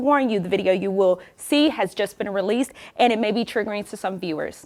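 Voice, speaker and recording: Using a plain, everyday voice, a woman speaks at a fairly quick pace with lively intonation. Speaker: TV news reporter and anchor. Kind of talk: broadcast news reporting and anchoring. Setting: on-location stand-up and studio anchor delivery.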